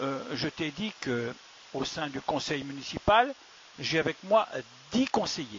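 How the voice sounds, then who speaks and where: Noticeable background noise fills the recording. The speaker's intonation rises and falls in a lively way. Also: man. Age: 60s. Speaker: village mayor, retired gendarme. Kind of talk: interview answering children's questions. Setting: town hall. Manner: hesitant, many fillers.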